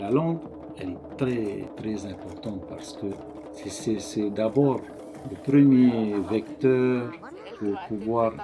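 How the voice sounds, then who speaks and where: With a Tahitian accent, a man with a fairly low voice and ordinary pitch variation speaks at a very slow pace, with audible room echo and music in the background. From French Polynesia, Tahiti. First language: Tahitian (speaking French). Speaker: conservatory director. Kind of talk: interview. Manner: halting.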